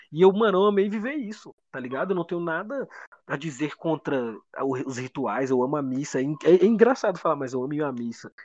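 Speaking at a fairly quick pace, a man with a plain, everyday voice and a fairly high pitch uses lively intonation and big swings in loudness. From Brazil, Federal District. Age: 20s. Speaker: rapper. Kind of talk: casual chat.

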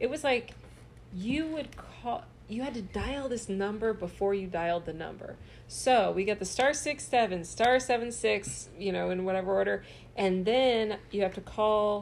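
Medium-pitched woman at a moderate pace, an ordinary speaking voice with ordinary pitch variation. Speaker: comedian. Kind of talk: casual chat.

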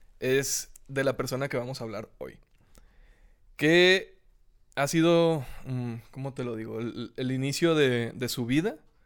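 Over a silent background in a very clean recording, a man with a Mexican accent speaks at a fairly slow pace. His pitch is medium, with ordinary variation and long, frequent pauses. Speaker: podcast host. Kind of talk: casual chat. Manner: animated.

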